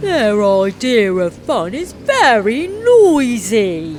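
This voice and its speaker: Someone delivers a put-on character voice at a very slow pace over clear background noise. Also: woman, fairly high pitch for a woman. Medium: read story. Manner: puzzled, complaining.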